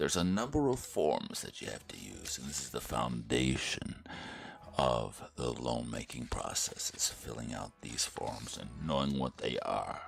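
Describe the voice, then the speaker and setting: A man with an American accent speaks very slowly, with vocal fry and lively intonation. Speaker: vlogger studying for mortgage licensing exam. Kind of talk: casual tutorial monologue. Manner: quiet, low voice so as not to wake others; animated.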